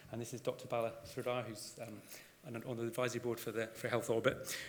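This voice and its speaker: Over audible room echo, a man at a medium pitch talks at a very fast pace. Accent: Scottish. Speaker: GP and GP trainer. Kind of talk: conference presentation. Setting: stage with audience.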